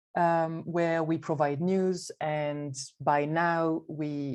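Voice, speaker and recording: A woman with a dark, mellow tone speaks against a quiet background. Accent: French. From France. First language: French. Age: 30s. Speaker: arts network board president. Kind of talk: panel presentation.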